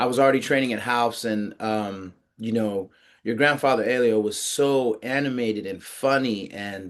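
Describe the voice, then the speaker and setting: A man with an American accent speaks at a moderate pace in a medium pitch, with fairly even intonation and a plain, everyday voice. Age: 50s. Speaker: podcast host, interviewer. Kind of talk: interview. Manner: casual, with frequent fillers.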